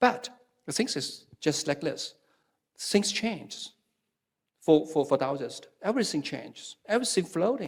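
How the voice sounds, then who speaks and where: A man is speaking. He talks with a Chinese accent. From China. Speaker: Taoism scholar. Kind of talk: panel discussion. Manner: halting, many fillers and repetitions.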